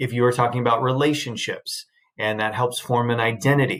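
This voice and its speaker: In a very clean recording with a silent background, a man with a normal speaking voice talks at a medium pitch and moderate pace with fairly even intonation. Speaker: high school English teacher. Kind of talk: recorded lecture.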